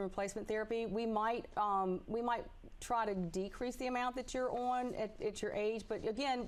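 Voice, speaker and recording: Talking at a fairly quick pace in a Southern accent, a woman has a fairly high pitch and ordinary pitch variation. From Tennessee. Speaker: physician. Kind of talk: call-in advice. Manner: hesitant, many fillers.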